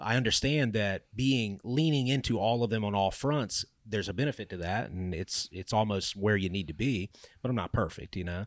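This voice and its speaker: This man has an ordinary speaking voice with a fairly low pitch and ordinary pitch variation, talking at a moderate pace with hardly any pauses on a very clean recording with a silent background. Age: 30s. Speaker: podcast host. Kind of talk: casual chat.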